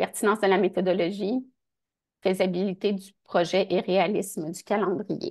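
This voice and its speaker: With fairly even intonation and a medium pitch, a woman speaks at a very slow pace. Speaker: research funding agency advisor. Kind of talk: workshop presentation; Q&A answer in English. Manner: halting.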